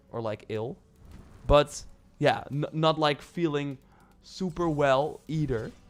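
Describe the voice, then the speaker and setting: Over music in the background, a man speaks very slowly at a fairly high pitch with ordinary pitch variation and long, frequent pauses. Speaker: gaming YouTuber streamer. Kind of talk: casual live stream chat. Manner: halting, many restarts.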